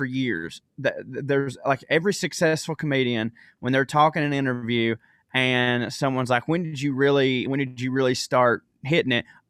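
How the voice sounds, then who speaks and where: In a Southern US accent, a man speaks at a moderate pace with a fairly high pitch and ordinary pitch variation, the sound dry and close with no echo. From US South. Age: 30s. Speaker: comedian. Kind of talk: casual chat. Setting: video call.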